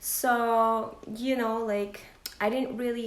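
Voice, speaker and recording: A woman speaks very slowly at a fairly high pitch. Her intonation is flat and monotone, with audible room echo. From Philippines, Bacolod City. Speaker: lifestyle vlogger. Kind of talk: unboxing vlog, casual talk to camera. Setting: at home by the Christmas tree.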